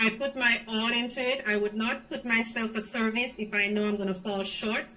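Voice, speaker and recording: A woman's fairly high voice in a Grenadian accent, animated in tone, at a moderate pace, over noticeable background noise. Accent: Grenadian accent, retained. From Grenada. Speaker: schoolteacher in the diaspora. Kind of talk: interview on political party show.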